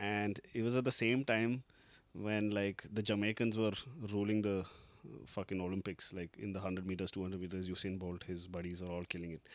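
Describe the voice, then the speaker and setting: Speaking with a Keralan accent, a man with a fairly low voice talks at a fairly quick pace in a very clean recording with a silent background. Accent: Malayali Indian. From Kerala, India; partly grew up in Russia. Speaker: podcast co-host. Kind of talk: casual chat. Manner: animated.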